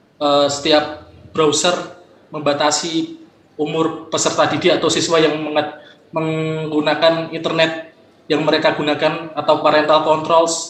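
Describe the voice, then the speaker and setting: A man with a fairly high pitch speaks in a flat monotone at a fairly slow pace, with audible room echo and noticeable background noise. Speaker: conference participant asking a question. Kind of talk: Q&A at online academic conference. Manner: halting.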